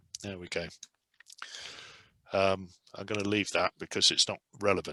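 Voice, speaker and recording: The voice has a bright, sharp tone with an English accent. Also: man, dry, close sound with no echo. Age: 70s. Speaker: test pilot. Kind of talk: lecture. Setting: video call.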